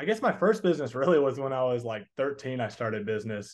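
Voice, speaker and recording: Speaking with a slight Southern US accent, a man uses a fairly high pitch. His voice makes very wide pitch swings. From Texas. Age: 20s. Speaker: entrepreneur and coaching student. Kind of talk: casual interview. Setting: call.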